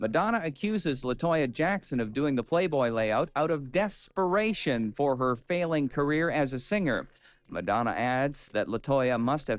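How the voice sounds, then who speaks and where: With an unremarkable speaking voice, a man talks at a moderate pace and a fairly high pitch, his intonation lively and his loudness very even, with hardly any pauses over a quiet background. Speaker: radio announcer and entertainment news host. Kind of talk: FM radio entertainment news broadcast. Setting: radio station air-check, 1980s broadcast.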